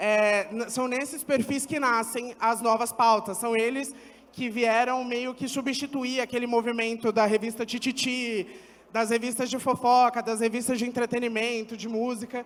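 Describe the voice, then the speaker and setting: A man speaks with a São Paulo accent at an extremely high pitch. His intonation stays monotone and flat. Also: moderate pace. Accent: Paulistano Brazilian Portuguese. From Brazil, São Paulo east side. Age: 20s. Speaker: agency founder and content creator. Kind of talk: panel discussion. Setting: stage with audience.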